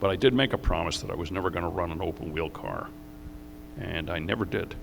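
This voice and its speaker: A man with an American accent speaks at a very deep, low pitch. Room echo is audible, and background noise is noticeable. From New York, US. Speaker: racing driver and team owner. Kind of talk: interview on stage. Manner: halting.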